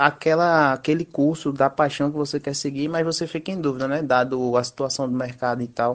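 In a plain, everyday voice, a man with a fairly high pitch talks at a fairly quick pace with fairly even intonation and hardly any pauses against a quiet background. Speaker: judo instructor, physical education graduate. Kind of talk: interview.

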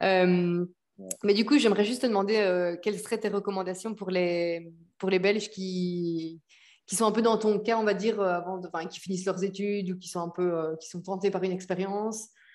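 This is a normal speaking voice at a moderate pace. Its loudness swings widely. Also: woman, medium pitch for a woman, fairly even intonation. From Belgium. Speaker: podcast host. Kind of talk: casual interview.

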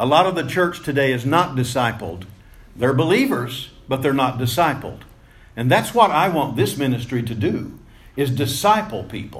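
With lively intonation and a somewhat breathy sound, the speaker moves at a moderate pace amid audible room echo. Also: man, medium pitch for a man. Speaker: preacher. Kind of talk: sermon. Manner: wordy, repetitive with fillers.

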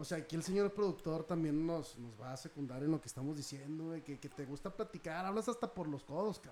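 A man with a plain, everyday voice talks at a fairly high pitch and fairly quick pace, with lively intonation and hardly any pauses. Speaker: actor. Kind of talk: casual chat.

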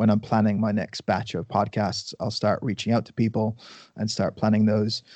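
With an Irish accent, a man talks at a moderate pace and a fairly low pitch. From Ireland. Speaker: nutrition coach and podcaster. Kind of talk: casual chat. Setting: podcast interview.

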